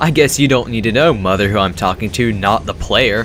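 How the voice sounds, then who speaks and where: Music plays in the background as a man with a fairly low pitch speaks with lively intonation. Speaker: let's play gamer. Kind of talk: game commentary.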